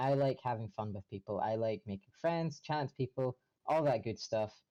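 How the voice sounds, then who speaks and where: Speaking at a fairly quick pace, a man with a medium pitch and lively intonation sounds somewhat breathy against a quiet background, in a dry, close recording with no echo. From Scotland. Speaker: streamer. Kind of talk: interview.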